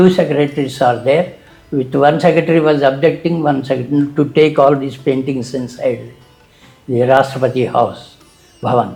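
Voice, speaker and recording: This man has a fairly high voice and fairly even intonation. He talks at a moderate pace over noticeable background noise. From India. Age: 70s. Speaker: painter. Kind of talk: interview answer.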